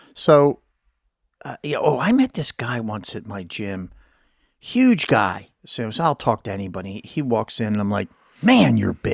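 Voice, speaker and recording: Recorded dry and close with no echo against a silent, very clean background, a man speaks at a fairly slow pace while his loudness swings widely. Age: 60s. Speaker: podcast host. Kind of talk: casual chat.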